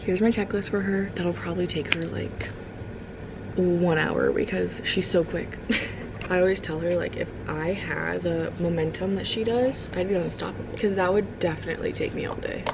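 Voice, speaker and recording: A woman speaks fairly quickly, her voice carrying audible room echo over noticeable background noise. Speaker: kindergarten teacher and vlogger. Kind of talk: vlog narration. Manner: casual, lots of filler words.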